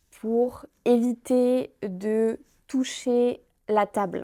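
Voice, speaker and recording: A woman speaks at a fairly high pitch with a dark, mellow tone. The sound is dry and close with no echo, on a very clean recording with a silent background. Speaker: French teacher. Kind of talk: language lesson vlog. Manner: slow and clear.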